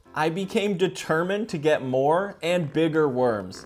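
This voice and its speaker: Over music in the background, a man with a fairly high pitch talks in an animated tone with lively intonation. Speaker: DIY video creator. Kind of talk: vlog narration.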